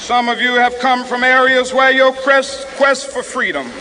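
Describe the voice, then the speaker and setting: A man's raised, projected voice, extremely high in pitch, monotone and flat, at a very slow pace with an American accent, over noticeable background noise. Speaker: civil rights leader, minister. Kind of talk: historic public oration at a rally. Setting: outdoor rally PA system, 1960s recording. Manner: rhythmic, impassioned, preacher-like cadence.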